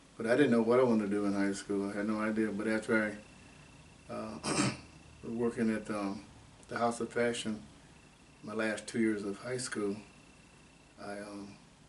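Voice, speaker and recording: A man with an American accent speaks at a moderate pace in a monotone, flat way, with long, frequent pauses. Noticeable background noise and audible room echo fill the recording. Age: 80s+. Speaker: oral history interviewee, retired factory engineer. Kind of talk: oral history interview. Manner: halting.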